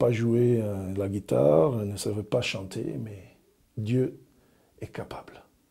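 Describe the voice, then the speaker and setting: A man's dark, mellow tone comes through as he talks fairly slowly. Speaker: religious brother, evangelist. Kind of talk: personal testimony to camera. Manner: friendly, warm.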